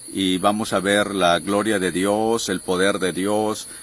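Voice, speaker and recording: A man's very slow, monotone, flat delivery, very deep and low in pitch, with a bright, sharp tone. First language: Tenek (Huastec) (speaking Spanish). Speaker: missionary. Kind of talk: testimony.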